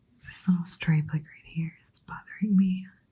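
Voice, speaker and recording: A woman whispering, somewhat breathy. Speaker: watercolor artist. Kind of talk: ASMR painting talk. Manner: whispered.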